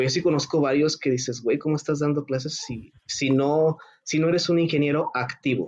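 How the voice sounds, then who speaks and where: A man speaks in a normal speaking voice at a moderate pace. His pitch is fairly high and his intonation fairly even. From Mexico (Morelos). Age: 30s. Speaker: mechatronics engineer and robotics teacher. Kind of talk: casual interview chat.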